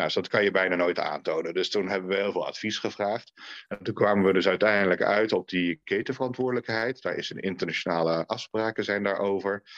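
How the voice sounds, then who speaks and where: Against a quiet background, a man with an unremarkable speaking voice talks at a fairly quick pace and fairly low pitch. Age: 40s. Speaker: former member of parliament, children's rights consultant. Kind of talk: podcast interview.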